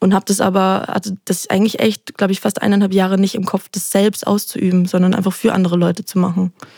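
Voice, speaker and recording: Woman's medium-pitched voice with a dark, mellow tone, very fast with hardly any pauses, monotone and flat, in a dry, close sound with no echo. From Austria, Salzburg. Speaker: singer-songwriter. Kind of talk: interview.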